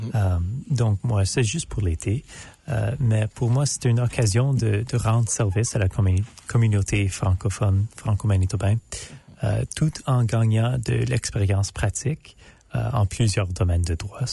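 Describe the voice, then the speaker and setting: A fairly low, somewhat breathy male voice with a dark, mellow tone and an English accent, at a fairly slow pace with ordinary pitch variation and very even loudness. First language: English (speaking French). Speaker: law student intern. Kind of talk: radio interview. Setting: radio studio. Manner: halting, many hesitations.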